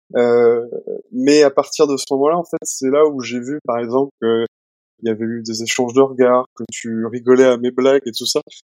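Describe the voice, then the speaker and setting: With a normal speaking voice, a man talks at a moderate pace and medium pitch, keeping a fairly even intonation in a dry, close recording with no echo. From Nantes, western France. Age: 30s. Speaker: purchasing manager, partner of patient. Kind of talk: casual interview.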